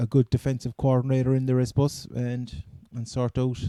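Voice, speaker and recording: In a Cork accent, a man talks at a medium pitch in a monotone, flat intonation, his tone dark and mellow and the sound dry and close with no echo. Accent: Cork Irish. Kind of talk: casual sports podcast talk. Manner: casual, hesitant.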